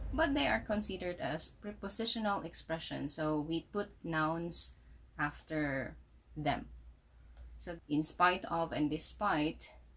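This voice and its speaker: Very slowly, a woman speaks in a Visayan Filipino accent. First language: Cebuano (Bisaya). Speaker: English teacher. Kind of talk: tutorial.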